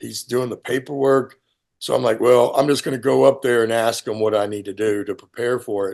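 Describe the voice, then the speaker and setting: Male speech at a middle pitch, delivered rather briskly. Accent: American. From Texas. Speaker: retired special forces soldier. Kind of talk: interview storytelling. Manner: animated.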